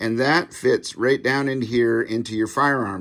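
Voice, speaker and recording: Bright and sharp in tone, a man talks at a very slow pace. His pitch is medium, with ordinary pitch variation. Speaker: firearms YouTuber. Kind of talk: tutorial. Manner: hesitant with fillers.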